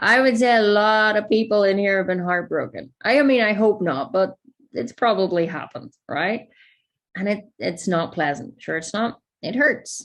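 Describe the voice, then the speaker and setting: In a Northern Irish accent, a woman speaks at a moderate pace and medium pitch with lively intonation. The recording is very clean, with a silent background. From Northern Ireland. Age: 30s. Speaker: life coach. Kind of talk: masterclass talk to audience.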